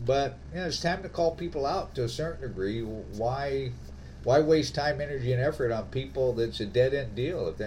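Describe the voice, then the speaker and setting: A normal speaking voice from a man at medium pitch comes at a moderate pace with ordinary pitch variation. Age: 60s. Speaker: podcast host. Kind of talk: casual chat. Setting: remote call.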